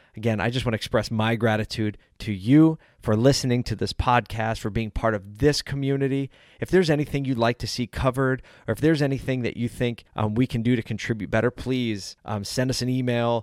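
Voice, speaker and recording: A man with an American accent and an unremarkable speaking voice talks at a fairly quick pace, medium in pitch with fairly even intonation. The sound is dry and close with no echo, on a very clean recording with a silent background. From South Philadelphia, Pennsylvania, US. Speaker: podcast host. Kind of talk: solo podcast monologue. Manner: casual, conversational.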